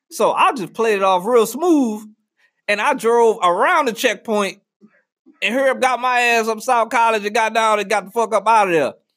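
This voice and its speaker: Over a very clean recording with a silent background, a man speaks at a moderate pace in a high voice with ordinary pitch variation and an animated tone. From New Orleans. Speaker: podcast host. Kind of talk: casual comedic monologue. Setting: studio.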